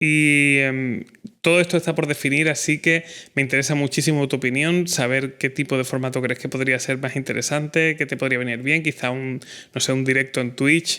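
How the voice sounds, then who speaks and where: This man's voice sits fairly high and has a bright, sharp tone. He keeps a moderate pace and fairly even intonation. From Spain, Cádiz (Andalusia). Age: 30s. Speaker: podcast host, filmmaker. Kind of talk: podcast monologue.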